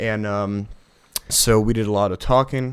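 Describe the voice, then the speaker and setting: The man's voice sits at a fairly low pitch. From Czech Republic. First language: Czech. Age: 20s. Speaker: student. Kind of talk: podcast interview. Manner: halting with fillers.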